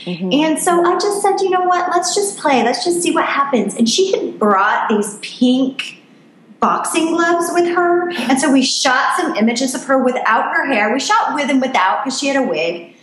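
A woman's high pitch with very wide pitch swings at a moderate pace, over noticeable background noise. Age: 40s. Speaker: life coach and photographer. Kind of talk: interview.

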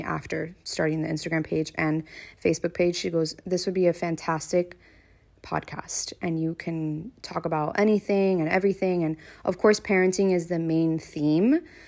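Very clean and with a silent background, the recording captures a woman in an ordinary speaking voice with an American accent. She has a fairly low pitch, fairly even intonation and a moderate pace. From US South, Miami, Florida. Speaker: podcast host and content creator. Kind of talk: casual monologue.

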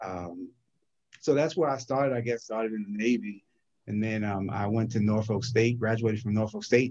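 In an American accent, a man with a plain, everyday voice speaks at a moderate pace and medium pitch with ordinary pitch variation. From New Jersey (New Brunswick). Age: 50s. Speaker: accountant and financial business owner. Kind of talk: casual interview.

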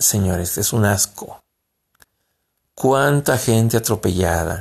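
A very slow pace with long, frequent pauses, on a very clean recording with a silent background. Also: man. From Mexico. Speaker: podcast host. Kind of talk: political commentary monologue. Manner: halting.

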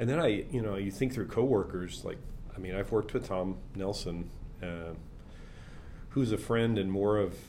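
A man speaks at a moderate pace with a fairly low pitch and a dark, mellow tone, with ordinary pitch variation. Long, frequent pauses break up his speech, and audible room echo surrounds it. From small town. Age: 60s. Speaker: pastor and ministry worker. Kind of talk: interview conversation.

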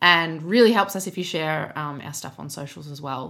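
A woman with an Australian accent talks at a moderate pace in a bright, sharp tone. Her pitch varies in an ordinary way on a very clean recording with a silent background. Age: 20s. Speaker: podcast co-host. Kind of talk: casual chat. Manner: laughs often.

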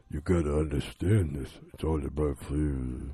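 A man puts on a gravelly character voice, pitched very deep and low, and speaks at a moderate pace. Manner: serious, mob-style.

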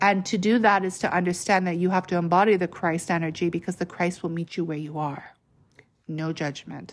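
A woman with a fairly low pitch speaks at a moderate pace with fairly even intonation, in an unremarkable speaking voice. The recording is very clean, with a silent background. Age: 30s. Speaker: spiritual podcaster. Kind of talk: spiritual monologue. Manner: casual, conversational.

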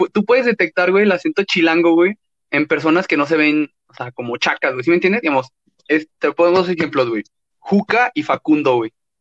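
A man talks at a fairly quick pace in a high pitch with lively intonation. The sound is dry and close with no echo. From Mexico, León, Guanajuato. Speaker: podcast co-host. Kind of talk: casual chat.

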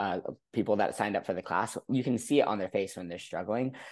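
A man's fairly low-pitched, a plain, everyday voice against a quiet background. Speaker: podcast host and ski coach. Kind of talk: casual interview chat.

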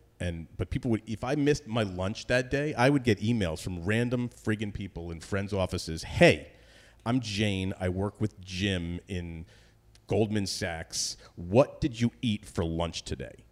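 In a plain, everyday voice, a man with an American accent speaks at a fairly slow pace with ordinary pitch variation. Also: fairly low pitch for a man, very clean recording, silent background. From northern New Jersey. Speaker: entrepreneur and comedy writer. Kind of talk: casual chat.

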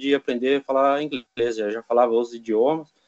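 This man talks at a very fast pace. His pitch is fairly high. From Brazil. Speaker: Brazilian emigrant farm worker. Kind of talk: casual chat.

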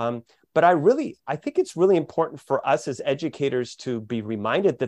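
Against a quiet background with a dry, close sound and no echo, a man with a plain, everyday voice talks at a fairly high pitch and a fairly quick pace, his intonation lively. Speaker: co-host and educator. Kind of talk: casual book-club conversation.

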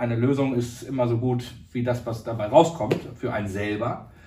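Amid noticeable background noise and audible room echo, a man speaks at a fairly slow pace with medium pitch. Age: 30s. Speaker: agritech founder. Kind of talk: interview.

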